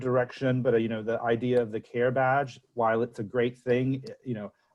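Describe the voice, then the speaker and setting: A man speaks in a medium pitch with an American accent. His pace is moderate and his intonation monotone and flat. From United States. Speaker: senior research fellow. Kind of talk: webinar Q&A. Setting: online webinar. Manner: halting, many fillers and repeats.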